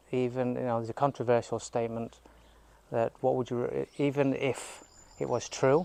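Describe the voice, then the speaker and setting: A man at a moderate pace, with fairly even intonation. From Yorkshire, northern England. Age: 50s. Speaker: lifestyle vlogger. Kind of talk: casual vlog monologue. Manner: rambling, hesitant with fillers.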